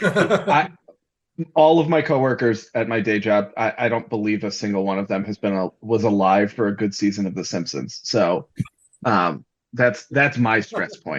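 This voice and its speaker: A man talks in an ordinary speaking voice with a fairly low pitch. His intonation is lively and his pace moderate. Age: 40s. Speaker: podcast co-host. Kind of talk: casual chat.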